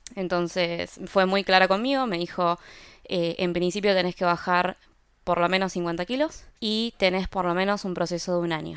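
In an ordinary speaking voice, a woman speaks at a moderate pace in a fairly low pitch with fairly even intonation, on a very clean recording with a silent background. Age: 30s. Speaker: product designer and health influencer. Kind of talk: interview conversation.

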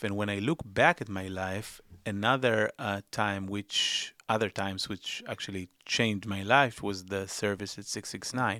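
A man's fairly low, bright, sharp voice with an Israeli accent, moderate pace, hardly any pauses and fairly even intonation, dry and close with no echo, on a very clean recording with a silent background. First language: Hebrew. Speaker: investigative journalist and filmmaker. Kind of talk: interview. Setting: studio. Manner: halting.

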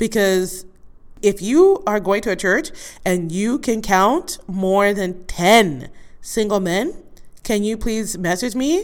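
A woman speaks at a very slow pace in a medium pitch. Her pitch varies in an ordinary way. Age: 40s. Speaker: podcast host. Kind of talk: casual monologue.

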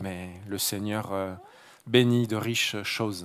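A man with a Marseille accent and monotone, flat intonation, in a very clean recording with a silent background. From Marseille, southern France. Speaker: mission worker and guest preacher. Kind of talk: sermon. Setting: church service with congregation. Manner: halting.

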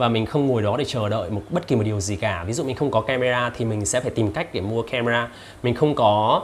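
A man with a medium pitch. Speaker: YouTuber reviewing books. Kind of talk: casual vlog-style book summary.

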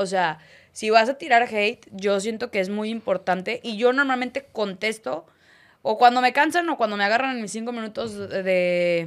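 A woman talks at a fairly slow pace in an unremarkable speaking voice, pitched fairly high with lively intonation. The recording is very clean, with a silent background. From Torreón, Comarca Lagunera, northern Mexico. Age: 20s. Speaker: sports commentator. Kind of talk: casual interview chat.

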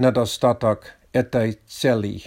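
A man with a non-native accent speaks at a very slow pace with fairly even intonation. The recording is very clean, with a silent background. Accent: foreign accent in Russian. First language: English (speaking Russian). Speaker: podcaster, Russian learner. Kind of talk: solo monologue. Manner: non-native, halting.

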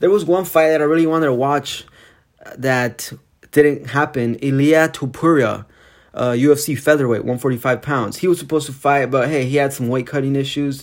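On a very clean recording with a silent background, a man talks at a fairly quick pace and a fairly high pitch. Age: 20s. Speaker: MMA podcast host and grad student. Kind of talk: casual solo podcast monologue. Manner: animated.

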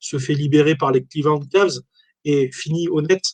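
A man speaks at a fairly slow pace. His voice sounds somewhat breathy. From France, Valence (Drôme). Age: 40s. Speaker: sports memorabilia shop owner. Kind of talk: casual interview. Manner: hesitant, many fillers.

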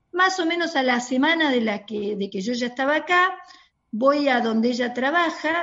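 A woman's high-pitched voice at a fairly slow pace, with a Rioplatense accent. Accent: Argentine Rioplatense Spanish. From Argentina. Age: 50s. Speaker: pediatrician. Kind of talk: interview. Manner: halting.

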